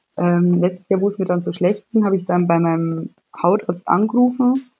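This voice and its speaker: A woman's plain, everyday voice at a medium pitch. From Bavaria, near Munich. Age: 20s. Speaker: psoriasis patient. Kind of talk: casual interview.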